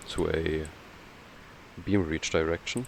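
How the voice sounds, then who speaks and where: The speaker has a German accent. The delivery is very slow. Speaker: video game streamer. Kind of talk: casual gameplay commentary. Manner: hesitant, many fillers.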